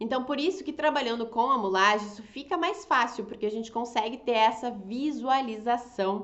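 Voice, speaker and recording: The delivery has lively intonation and a moderate pace. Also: woman. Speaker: fashion designer and draping teacher. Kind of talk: online class. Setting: Instagram live. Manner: animated.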